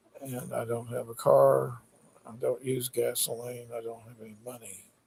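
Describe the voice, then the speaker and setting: Moderate pace from a male speaker. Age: 60s. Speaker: political candidate vlogger. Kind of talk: rambling monologue. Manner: hesitant, filler-heavy.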